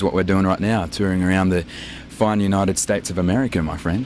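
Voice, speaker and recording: A man with an Australian accent talks at a very fast pace over noticeable background noise. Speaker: rock band member. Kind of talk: casual interview. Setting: outdoors at an airport show.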